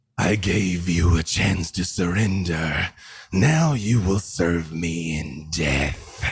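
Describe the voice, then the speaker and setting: In a put-on character voice, a man booms at a very deep, low pitch and a very slow pace. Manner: menacing, commanding.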